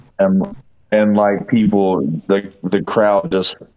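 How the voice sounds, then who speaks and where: With music in the background, a man speaks at a very slow pace. His pitch is fairly low and his intonation fairly even. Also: very even loudness. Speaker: convention organizer. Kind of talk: casual chat. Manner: halting, many fillers.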